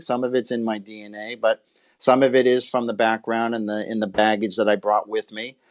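In a plain, everyday voice, a man speaks at a medium pitch. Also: quiet background. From Massachusetts. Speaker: baseball scout and former pitcher. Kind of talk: interview.

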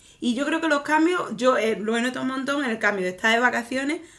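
Over noticeable background noise, a woman talks with very wide pitch swings. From Extremadura, Spain. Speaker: podcast co-host, improv performer. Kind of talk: improvised comedy chat.

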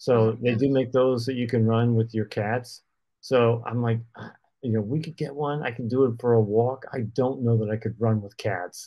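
An unremarkable speaking voice, this man talks at a moderate pace with a medium pitch and fairly even intonation. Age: 60s. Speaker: runner and podcast co-host. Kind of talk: casual chat. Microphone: connection issues.

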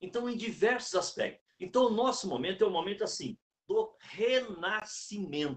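A man's high voice shows ordinary pitch variation and keeps a moderate pace. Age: 60s. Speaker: sales speaker and consultant. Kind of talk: talk within a live interview. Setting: live stream.

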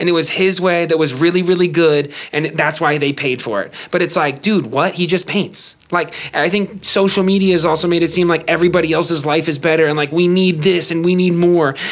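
Fairly even intonation in a man's high voice. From Las Vegas, US. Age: 20s. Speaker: rapper and podcaster. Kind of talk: casual chat.

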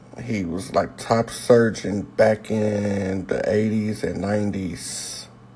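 Noticeable background noise sits behind a man. He speaks very slowly in a monotone, flat way. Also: fairly low pitch for a man, hardly any pauses. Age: 30s. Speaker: podcaster. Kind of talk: personal monologue.

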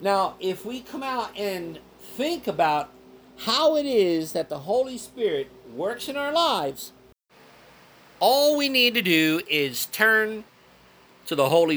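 Very slowly and with very wide pitch swings, a man speaks in a raised, projected voice that is high-pitched, bright and sharp. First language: Spanish. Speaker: pastor. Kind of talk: sermon. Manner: halting.

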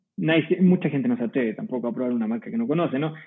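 This man speaks very fast, his intonation lively. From Chile, Curicó Valley. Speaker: winemaker. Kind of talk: casual chat.

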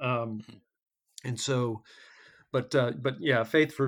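At a moderate pace, a man with a medium pitch talks in a normal speaking voice with fairly even intonation. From North Carolina (Hickory), moved from Michigan as a kid. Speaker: podcast guest, fitness group member. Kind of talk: casual interview.

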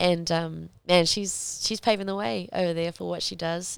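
A woman with a New Zealand accent, fairly low pitch and a moderate pace. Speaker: professional MMA fighter. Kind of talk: casual interview.

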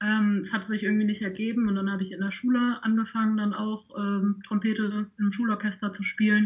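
Speaking at a moderate pace, a woman uses a medium-pitched, somewhat breathy voice. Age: 20s. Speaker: trumpet player and social media volunteer. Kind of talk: podcast interview.

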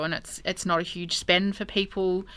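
In an Australian accent, a woman with a fairly low pitch speaks in a monotone, flat intonation on a very clean recording with a silent background. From Albury, New South Wales, Australia. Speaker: street food business owner. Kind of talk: interview. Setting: studio.

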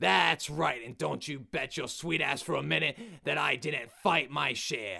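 A man puts on a character voice. It is raspy, with a medium pitch. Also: moderate pace. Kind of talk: sassy, defiant. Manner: aggressive.

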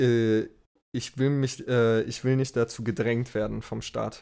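A man speaks at a fairly slow pace in a medium pitch, his tone dark and mellow and his intonation fairly even, on a very clean recording with a silent background. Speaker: podcast co-host. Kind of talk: casual chat.

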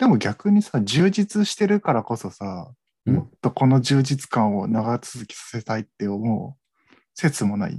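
A man speaks at a fairly slow pace in a dark, mellow, somewhat breathy voice, with very wide pitch swings and big swings in loudness, recorded dry and close with no echo. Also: medium pitch for a man, hardly any pauses. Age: 20s. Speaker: podcast co-host. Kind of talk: casual chat.

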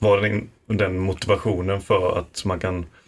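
A man with a fairly low pitch uses a normal speaking voice and fairly even intonation in a very clean recording with a silent background. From Falkenberg, Halland, Sweden. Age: 20s. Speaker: university student and podcaster. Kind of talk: casual chat. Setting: studio.

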